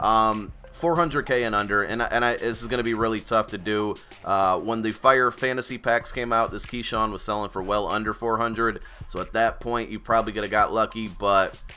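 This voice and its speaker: A man speaks at a fairly quick pace in a medium pitch, with music playing in the background. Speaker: gaming YouTuber. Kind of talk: video game tutorial. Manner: fast; animated.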